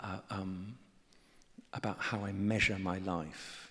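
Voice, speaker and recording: Someone with a southern British accent speaks at a very slow pace. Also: man. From England. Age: 60s. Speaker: artist and writer. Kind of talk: on-stage conversation. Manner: halting, many repetitions and fillers.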